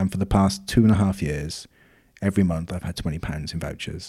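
Dark, mellow male voice with a Welsh accent, fairly quick in pace, on a very clean recording with a silent background. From Wales. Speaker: podcast co-host. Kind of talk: casual chat.

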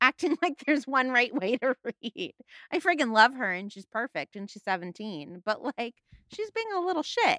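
With an American accent, a woman speaks at a high pitch and a moderate pace, her bright, sharp tone marked by very wide pitch swings. Her loudness rises and falls sharply, and the sound is dry and close with no echo. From US West Coast, San Fernando Valley, Los Angeles. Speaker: podcast guest, literature enthusiast. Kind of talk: casual chat.

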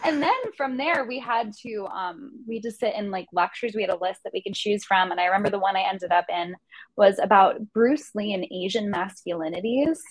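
Lively intonation marks a woman speaking in a US Northeastern accent. Her pitch is medium and her pace fairly quick. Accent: US Northeast. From New Jersey. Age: 20s. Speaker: student and writer. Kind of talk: casual interview.

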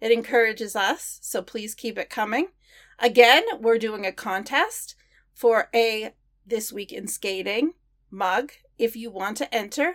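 A woman with an American accent and a plain, everyday voice speaks at a fairly high pitch and fairly slow pace, with ordinary pitch variation and big swings in loudness, on a very clean recording with a silent background. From Maine, US. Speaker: podcast host. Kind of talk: scripted podcast outro; interview.

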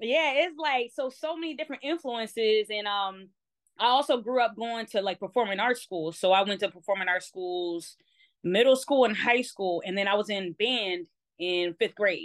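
A woman's fairly high, animated voice with lively intonation at a moderate pace. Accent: American. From Baltimore, US. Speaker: DJ. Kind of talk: casual interview chat. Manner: animated, talkative, tangent-prone.

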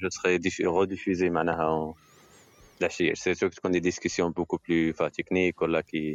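A man's very deep, low voice with monotone, flat intonation and very even loudness. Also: fairly quick pace. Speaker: engineer, company founder. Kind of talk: casual chat, tech talk.

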